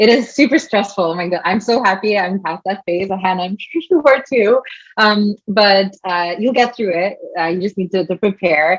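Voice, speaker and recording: Close, dry audio without any echo, and pitch that moves in a normal way. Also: woman, medium pitch for a woman. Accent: French. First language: French. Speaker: giving interview preparation advice. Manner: fast talker.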